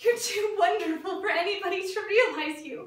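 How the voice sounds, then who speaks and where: There is audible room echo as a woman speaks. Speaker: actor at an audition. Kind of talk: dramatic theatre monologue. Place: studio. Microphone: camera far.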